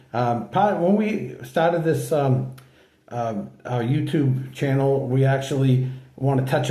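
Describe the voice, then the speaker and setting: Speaking at a fairly slow pace with medium pitch, a man has a somewhat breathy, dark, mellow voice, and audible room echo surrounds it. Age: 60s. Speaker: channel host sharing health story. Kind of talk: casual personal vlog talk. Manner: halting, many fillers.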